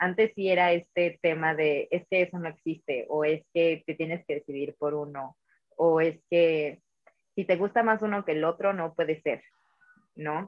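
At a fairly slow pace, a woman speaks in a fairly low pitch with fairly even intonation. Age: 20s. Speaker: singer and musical theatre actress. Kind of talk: casual interview.

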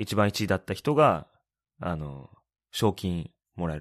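A very clean, silent-background recording of a man speaking. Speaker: podcast co-host, expat worker in Shanghai. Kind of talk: casual chat.

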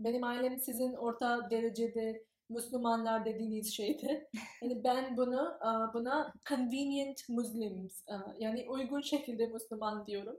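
In a British accent, a woman speaks at a fairly slow pace with a high pitch and fairly even intonation. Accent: British English-accented Turkish. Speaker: graduate student. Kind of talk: interview. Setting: in person. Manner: halting, many fillers.

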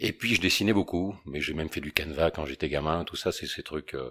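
On a very clean recording with a silent background, a man talks. His pitch is very deep and low. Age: 50s. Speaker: painter and founder of a creative agency. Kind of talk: interview. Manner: halting, with repeated words.

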